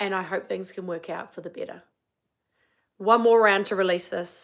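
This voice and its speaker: In a New Zealand accent, a woman talks at a moderate pace and medium pitch with an animated tone and big swings in loudness. The recording is very clean with a silent background. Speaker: wellbeing coach. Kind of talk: casual live-stream chat; guided tapping session, live stream. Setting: live stream.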